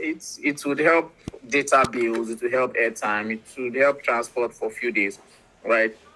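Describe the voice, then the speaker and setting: The voice carries a Nigerian accent. The pace is moderate. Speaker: startup representative presenting a platform. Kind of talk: online presentation.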